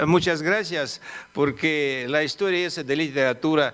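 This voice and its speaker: This man has a fairly high pitch, fairly even intonation and a non-native accent. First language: Russian (speaking Spanish). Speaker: politician. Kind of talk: conference talk. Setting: conference hall with audience. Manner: halting, many fillers.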